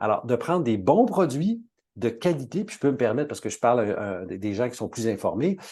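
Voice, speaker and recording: A man with a Quebec accent, medium-pitched and dark, mellow in tone, lively in intonation at a moderate pace, against a quiet background. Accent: Québécois French. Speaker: natural health expert. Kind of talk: webinar talk. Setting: online webinar.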